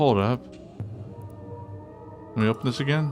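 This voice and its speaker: Background music plays throughout. The man talks at a moderate pace. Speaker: vtuber. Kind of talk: gameplay commentary.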